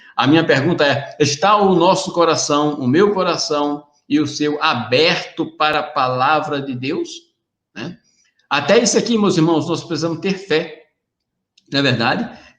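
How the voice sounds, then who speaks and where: Speaking at a fairly slow pace with ordinary pitch variation, a man with a fairly high voice is heard with audible room echo. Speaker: preacher. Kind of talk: sermon. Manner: animated.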